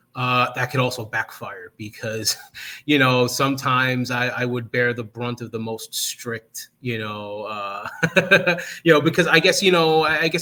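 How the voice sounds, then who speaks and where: A man with a strong New Jersey accent speaks at a medium pitch, his loudness swinging widely. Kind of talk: interview answer.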